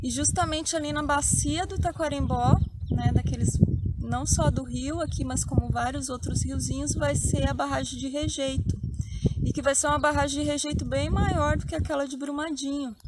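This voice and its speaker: Soft-spoken and at a moderate pace, a woman talks amid noticeable background noise and audible room echo. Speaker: channel host, spiritual healer. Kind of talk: outdoor vlog narration.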